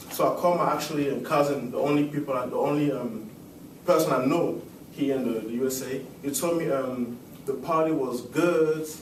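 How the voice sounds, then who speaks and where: Through noticeable background noise and audible room echo, a man with a Cameroonian French accent speaks at a fairly high pitch with fairly even intonation. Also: fairly quick pace. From Cameroon (Yaoundé). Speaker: student. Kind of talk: class speech. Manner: halting, many fillers.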